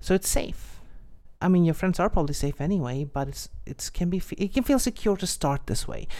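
A woman talks at a fairly quick pace with very wide pitch swings and a dark, mellow tone. The recording is very clean, over a silent background. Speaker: podcast host. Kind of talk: solo podcast tutorial. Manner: hesitant, many fillers.

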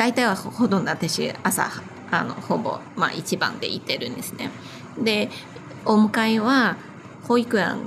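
A woman with a Chinese accent and a fairly high pitch speaks at a fairly slow pace, with ordinary pitch variation, long, frequent pauses, and noticeable background noise. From China. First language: Chinese (speaking Japanese). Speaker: wedding planner and business owner. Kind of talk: casual interview.

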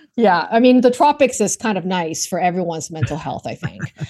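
With a Canadian accent, a woman speaks in a dark, mellow tone, her pitch swinging very widely. The background is quiet. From Vancouver, Canada. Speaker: work reinvention strategist. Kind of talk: interview conversation. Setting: remote call.

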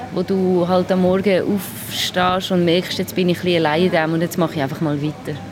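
A woman speaks at medium pitch and a moderate pace with fairly even intonation. Noticeable background noise is present. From Basel, Switzerland. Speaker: musician and filmmaker. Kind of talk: interview. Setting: restaurant. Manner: halting.

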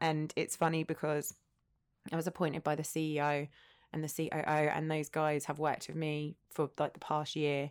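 With an Essex accent, a woman speaks in a very deep, low pitch and a monotone, flat intonation on a very clean recording with a silent background. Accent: southern English, Essex. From Essex, England. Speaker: entrepreneur, former teacher. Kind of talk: casual chat.

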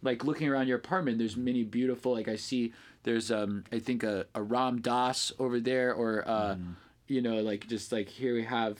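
On a very clean recording with a silent background, a man uses an ordinary speaking voice at medium pitch, with fairly even intonation and a moderate pace. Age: 30s. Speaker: ecstatic dance DJ. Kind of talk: casual interview chat.

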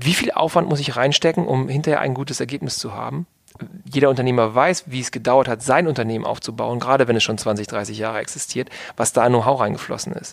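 Speaking at a very fast pace, a man with a medium-pitched voice and vocal fry shows ordinary pitch variation. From Hannover, northern Germany. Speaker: business consultant and entrepreneur. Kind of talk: podcast interview.

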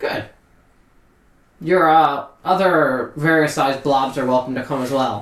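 A man's nasal, put-on character voice, fairly high in pitch, with fairly even intonation, a fairly slow pace and long, frequent pauses. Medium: actual play. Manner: curt, condescending.

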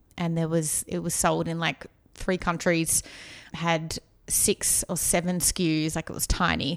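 In an Australian accent, a woman speaks at a fairly slow pace and fairly low pitch with monotone, flat intonation, on a very clean recording with a silent background. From Australia, outskirts of Melbourne. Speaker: marketing consultant. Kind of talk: casual interview.

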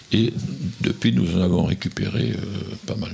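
Lively intonation marks this man's very deep, low voice, heard against noticeable background noise. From southern Gironde, France. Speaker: hiking club vice-president. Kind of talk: radio interview.

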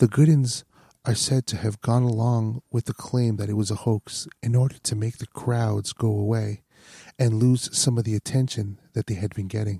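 On a very clean recording with a silent background and a dry, close sound with no echo, a man speaks at a moderate pace in a medium-pitched, dark, mellow, somewhat breathy voice with fairly even intonation. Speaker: podcast host. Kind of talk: ASMR-style true-crime narration of a haunting.

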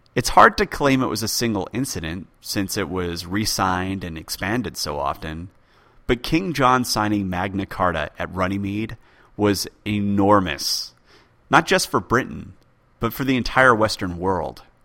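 A man with a plain, everyday voice speaks at a moderate pace in a fairly low pitch with ordinary pitch variation, on a very clean recording with a silent background. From born in UK, raised in US. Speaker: podcast host, history podcaster. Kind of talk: solo listener Q&A, casual explanatory.

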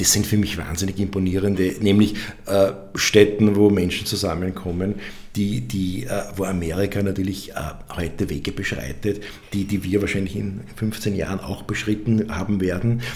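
A man speaks with a fairly low pitch and fairly even intonation. The recording has noticeable background noise and audible room echo. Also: moderate pace. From Upper Austria (Mühlviertel). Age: 40s. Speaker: architect. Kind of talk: interview. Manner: halting, many repetitions and fillers.

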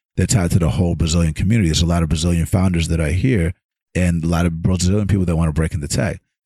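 At a very fast pace, a man speaks with a very deep, low pitch, a dark, mellow tone, a somewhat breathy quality, fairly even intonation and very even loudness. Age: 30s. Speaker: podcast host. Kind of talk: interview.

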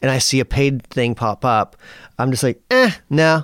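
A man with a plain, everyday voice, medium in pitch, at a moderate pace, in a dry, close sound with no echo. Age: 40s. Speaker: guitar pedal company founder. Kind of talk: interview.

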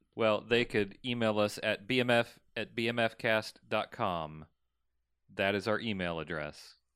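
In a plain, everyday voice, a man with a fairly low pitch talks at a fairly slow pace with ordinary pitch variation, recorded very cleanly against a silent background. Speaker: podcast host. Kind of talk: casual banter about a movie.

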